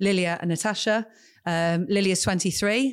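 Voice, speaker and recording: The woman keeps to a moderate pace. Her recording is very clean and the background silent. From southern England. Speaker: tech business consultant and advocate for women in tech. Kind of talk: podcast interview.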